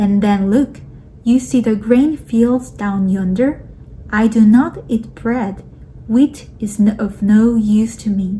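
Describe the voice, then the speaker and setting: A woman at a very slow pace with fairly even intonation, over noticeable background noise. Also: fairly high pitch for a woman. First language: not English. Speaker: audiobook reader. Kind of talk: reading aloud.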